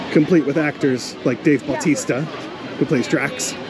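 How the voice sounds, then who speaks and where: An American accent from a male speaker amid noticeable background noise. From Baltimore, US Mid-Atlantic. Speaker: radio host and podcaster. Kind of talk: casual vlog chat. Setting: outdoors at a theme park.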